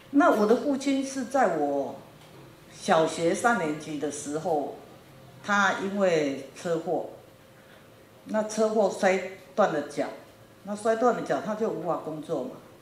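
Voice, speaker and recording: A woman speaks very slowly at a medium pitch with very wide pitch swings and long, frequent pauses. Audible room echo and light background noise are present. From Taiwan, New Taipei; Taiwan. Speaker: factory owner in Africa. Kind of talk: lecture. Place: classroom. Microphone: handheld.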